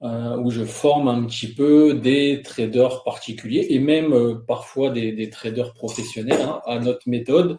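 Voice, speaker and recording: A man talks at a fairly slow pace in an ordinary speaking voice with medium pitch. His intonation is fairly even, and he takes hardly any pauses. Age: 40s. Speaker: trader and trading instructor. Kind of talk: webinar presentation.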